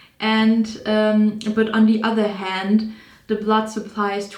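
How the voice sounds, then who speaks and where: Speaking at a very slow pace, a woman uses a fairly high pitch. Room echo is audible. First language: not English. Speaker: psychology student and video creator. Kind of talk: casual educational monologue. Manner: halting, with self-corrections.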